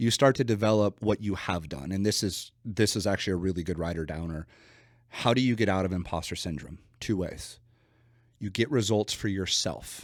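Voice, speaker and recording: A man's fairly low-pitched, animated voice at a fairly quick pace, with ordinary pitch variation, on a very clean recording with a silent background. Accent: West Coast. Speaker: business coach. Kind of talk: podcast interview. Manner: casual.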